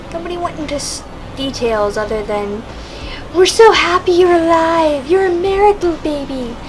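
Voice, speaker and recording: Quiet and extremely high-pitched, a woman's voice swings very widely in pitch and greatly in loudness, with audible room echo and noticeable background noise. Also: moderate pace. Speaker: vlogger. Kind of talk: casual monologue. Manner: quiet talker; halting.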